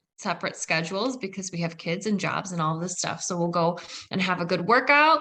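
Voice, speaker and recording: The tone is bright and sharp. The background stays quiet. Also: woman. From Poland. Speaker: real estate investor and former teacher. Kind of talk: podcast interview.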